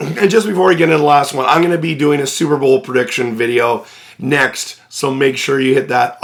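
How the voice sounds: A man's raspy, put-on character voice, fairly high in pitch, at a fairly quick pace with ordinary pitch variation.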